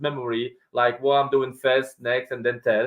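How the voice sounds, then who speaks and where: This man's voice sits at a fairly high pitch, with a Polish accent. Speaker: property investor. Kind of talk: podcast interview.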